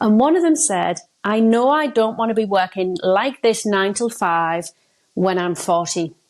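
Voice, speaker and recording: A woman speaks with a northeast English accent at a moderate pace. Her intonation is lively. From northeast England. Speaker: success coach. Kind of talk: podcast interview. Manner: casual, hesitant.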